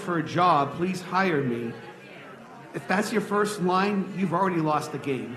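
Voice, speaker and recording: A man speaks loudly at a high pitch and a moderate pace. Noticeable background noise and audible room echo surround his voice. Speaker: audience member asking questions. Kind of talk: live Q&A discussion. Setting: stage with audience.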